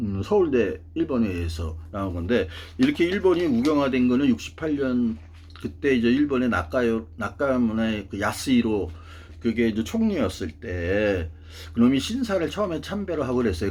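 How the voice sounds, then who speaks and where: His pitch swings very widely. This man's voice sits at a medium pitch. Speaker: political commentator. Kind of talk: monologue talk show. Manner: casual; halting.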